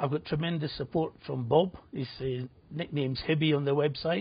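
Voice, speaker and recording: Somewhat breathy and fairly high-pitched, a man speaks at a moderate pace with fairly even intonation. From Scotland, Edinburgh. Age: 60s. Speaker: betting website founder, former bookmaker. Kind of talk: TV interview.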